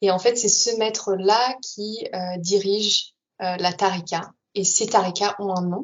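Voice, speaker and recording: Fairly even intonation runs through speech delivered very slowly. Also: woman, medium pitch for a woman. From Paris region, France. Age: 20s. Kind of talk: interview testimony.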